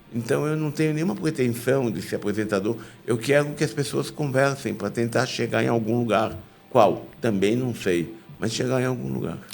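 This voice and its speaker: With music playing in the background, a man at medium pitch speaks at a moderate pace with lively intonation. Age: 70s. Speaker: podcast host, professor and consultant. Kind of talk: casual interview conversation.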